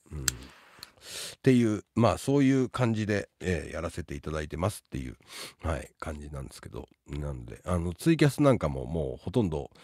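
A man with a dark, mellow tone and lively intonation speaks at a fairly quick pace, with a dry sound with no echo over a quiet background. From Tokyo, Japan. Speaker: live streamer and advice giver; live streamer. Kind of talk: casual livestream chat. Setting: live stream with chat. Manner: rapid run-on speech. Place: home room. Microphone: studio mic.

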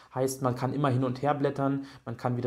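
A man talks at a fairly quick pace in a monotone, flat delivery. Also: quiet background. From Germany, Berlin; Germany. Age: 20s. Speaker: job applicant sharing experience. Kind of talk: testimonial tutorial. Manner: hesitant, many fillers. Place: home room. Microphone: studio mic.

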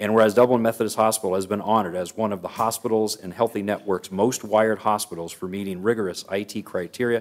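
Speaking very fast, a man keeps a monotone, flat intonation. His pitch sits fairly low. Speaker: council meeting presiding official. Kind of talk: formal proclamation reading. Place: hall. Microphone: podium.

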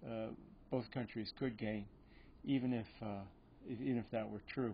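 Light background noise sits behind a man speaking at a moderate pace with fairly even intonation. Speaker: economics lecturer. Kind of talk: lecture. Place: hall. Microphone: podium.

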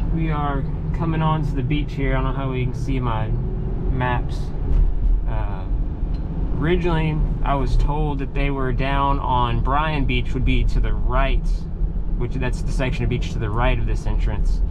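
Amid loud background noise, the speaker keeps a moderate pace broken by long, frequent pauses. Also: man. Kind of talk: casual vlog narration. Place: car. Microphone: camera far.

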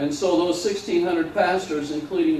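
There is audible room echo and light background noise as a man speaks at a high pitch with ordinary pitch variation. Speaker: pastor. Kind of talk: sermon. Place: church.

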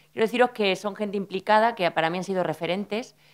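Over a quiet background, a woman talks at a very fast pace. Her pitch varies in an ordinary way. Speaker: speaker. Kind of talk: personal talk at a panel. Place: hall. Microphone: podium.

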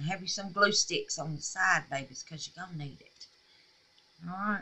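A woman speaks at a moderate pace with lively intonation. Her tone is bright and sharp, with a slightly husky edge.

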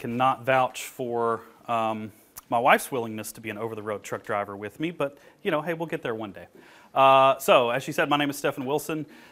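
Speaking fairly quickly, a man lets his pitch rise and fall by an ordinary amount. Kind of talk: presentation talk. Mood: friendly, joking. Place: meeting room. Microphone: lapel.

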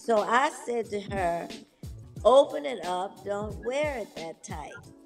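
Lively intonation at a very slow pace over clear music in the background. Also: woman. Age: 80s+. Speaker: bodybuilder; interview guest. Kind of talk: interview answer. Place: home room. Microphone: video call.

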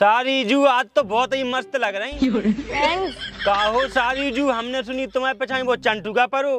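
Noticeable background noise beneath a fairly slow pace of speech. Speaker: comedy skit actor. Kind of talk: acted flirty comic dialogue in rural dialect. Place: open country. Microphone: lapel.

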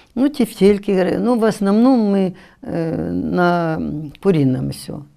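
A dark, mellow tone against a quiet background. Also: woman. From Ukraine. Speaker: social canteen manager; guest. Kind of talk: TV panel discussion. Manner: halting. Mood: calm, matter-of-fact. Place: studio. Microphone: lapel.

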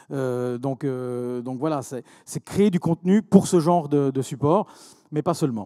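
A man speaks very slowly in a fairly high, dark, mellow voice with ordinary pitch variation. The background is quiet. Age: 40s. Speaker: entrepreneur; speaker. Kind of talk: conference talk. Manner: halting, many repetitions. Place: hall. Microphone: handheld.

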